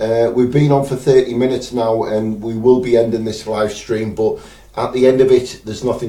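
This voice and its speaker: Speaking with a northeast England accent, a man has a medium pitch, a dark, mellow tone and a somewhat breathy quality. His intonation is fairly even, the pace moderate, and there is audible room echo. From northeast England, Teesside. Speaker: spirit medium. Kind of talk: live stream chat. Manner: hesitant, many fillers.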